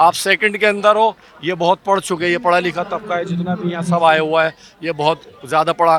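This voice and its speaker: Noticeable background noise sits behind a man with a high-pitched voice. He talks at a moderate pace, and the sound is dry and close with no echo. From India. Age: 60s. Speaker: protester. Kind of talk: street interview. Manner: animated.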